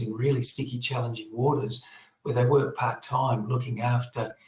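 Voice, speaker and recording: A man speaks with an Australian accent. His pitch is medium. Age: 60s. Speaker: general practitioner. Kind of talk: panel Q&A answer. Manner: halting, many repetitions and fillers.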